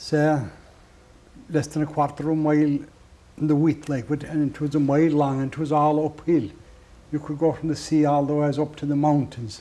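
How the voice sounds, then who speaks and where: With a west of Ireland accent, a man talks at a fairly quick pace but leaves long, frequent pauses. His fairly high pitch stays monotone and flat, with a dark, mellow tone. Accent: rural west of Ireland (Clare). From Ireland, County Clare. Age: 70s. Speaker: traditional musician. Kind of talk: interview. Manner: halting.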